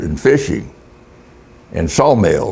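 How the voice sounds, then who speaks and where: The speaker has an American accent and talks at a fairly slow pace. Noticeable background noise runs underneath. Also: man. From US South, Florida Panhandle. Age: 80s+. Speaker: retired fisherman. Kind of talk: interview. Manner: halting.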